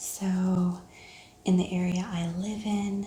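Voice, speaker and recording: A soft-spoken woman's voice, fairly low in pitch, with fairly even intonation. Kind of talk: ASMR haul, casual talk to camera.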